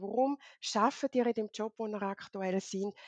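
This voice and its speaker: A normal speaking voice, a woman with a fairly high pitch at a moderate pace, fairly even intonation, and a dry, close sound with no echo. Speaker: LinkedIn consultant. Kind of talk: interview.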